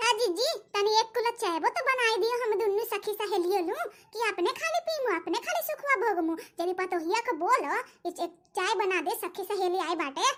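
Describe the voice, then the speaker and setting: In a squeaky, cartoonish character voice, a woman speaks at an extremely high pitch and a moderate pace with ordinary pitch variation. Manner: loud, dramatic.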